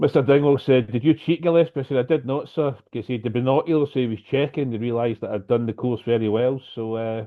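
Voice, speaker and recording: A man talks at a very fast pace. He has a Scottish accent. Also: medium pitch for a man, ordinary pitch variation, hardly any pauses. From Scotland, near Glasgow. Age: 60s. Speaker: lightning strike survivor, speaker. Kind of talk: personal story talk.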